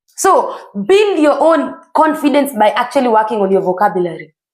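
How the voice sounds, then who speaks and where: A woman with a Kenyan accent speaks at a moderate pace in a high pitch. Her tone is animated, with very wide pitch swings. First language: Kikuyu. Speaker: self-improvement vlogger. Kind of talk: motivational talk.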